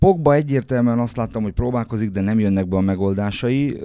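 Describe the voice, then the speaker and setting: A man speaks at a moderate pace and a fairly low pitch. His tone is dark and mellow. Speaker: football pundit and coach. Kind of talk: casual chat. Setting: studio. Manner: halting, repeats words.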